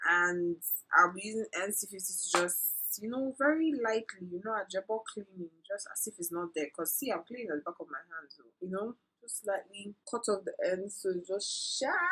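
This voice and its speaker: Over music in the background, a woman with a medium pitch and an American accent speaks with big swings in loudness. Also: ordinary pitch variation, moderate pace. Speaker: makeup artist and beauty vlogger. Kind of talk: casual chat; makeup tutorial. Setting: at home, friend sitting beside her. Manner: casual, chatty.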